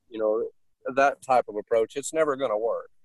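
A man speaks at a moderate pace with medium pitch and ordinary pitch variation. The sound is dry and close, with no echo. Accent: Southern US. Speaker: dog trainer. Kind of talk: casual interview.

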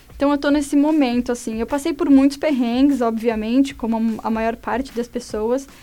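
A woman's high-pitched voice at a moderate pace, fairly even in intonation, with hardly any pauses. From Brazil, São Paulo. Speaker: journalist. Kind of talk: personal testimony.

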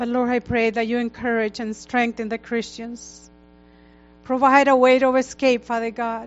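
A woman talks at a moderate pace in a fairly high pitch. Her intonation stays monotone and flat. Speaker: church leader. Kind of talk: prayer. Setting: church.

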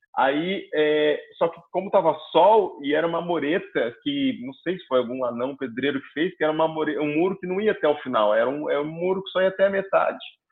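Talking at a fairly quick pace, a man with a high pitch uses lively intonation and big swings in loudness. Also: hardly any pauses. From Curitiba, southern Brazil. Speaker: comedian. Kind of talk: casual chat.

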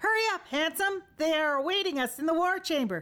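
Putting on a character voice, a woman talks loud and squeaky at an extremely high pitch and a fairly quick pace. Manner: barking, commanding.

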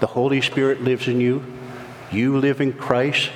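Male speech at a moderate speed amid noticeable background noise. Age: 60s. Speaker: pastor. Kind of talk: sermon. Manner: halting.

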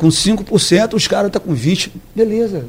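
Intonation from this man is lively. His voice sits high in pitch. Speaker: politician. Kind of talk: radio interview. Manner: casual, repetitive.

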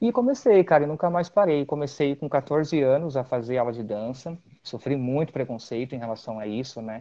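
A man's plain, everyday voice at a fairly high pitch, with ordinary pitch variation, a moderate pace and hardly any pauses. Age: 30s. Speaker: dancer and physical education teacher. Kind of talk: casual interview.

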